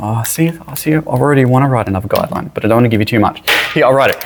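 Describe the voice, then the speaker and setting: Over noticeable background noise, a man with an Australian accent talks at a very fast pace with ordinary pitch variation. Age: 40s. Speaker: high school teacher. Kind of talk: lecture. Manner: casual, conversational.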